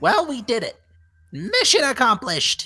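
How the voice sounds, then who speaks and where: A man's put-on character voice, extremely high in pitch. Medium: actual play. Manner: jokey, playful.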